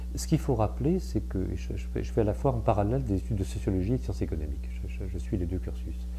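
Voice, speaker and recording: Barely pausing, a man races along at a very fast pace in a very deep, low, somewhat breathy voice with a dark, mellow tone and ordinary pitch variation. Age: 60s. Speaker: sociology professor. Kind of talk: interview. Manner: hesitant, with frequent fillers and repetitions.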